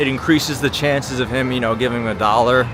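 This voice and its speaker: Over noticeable background noise, a man talks at a fairly quick pace with a slight Long Island accent. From Long Island, New York. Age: 30s. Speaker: livestreamer. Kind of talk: live street-walk commentary. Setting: outdoors on city streets at night. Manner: casual, chatty.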